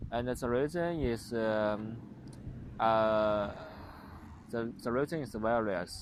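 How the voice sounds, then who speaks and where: Very slow speech in a strong Chinese accent, with long, frequent pauses and ordinary pitch variation. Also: man, medium pitch for a man. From China. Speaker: vlogger, former international student. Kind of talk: casual vlog monologue. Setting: outdoors on a playground. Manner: halting, many fillers and restarts.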